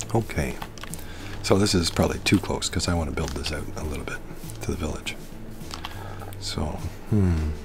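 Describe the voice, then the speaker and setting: A soft-spoken man with a very deep, low voice talks at a fairly quick pace in a soothing tone with lively intonation. He leaves long, frequent pauses, and background noise is noticeable. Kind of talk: relaxing gameplay commentary. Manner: soothing, soft-spoken.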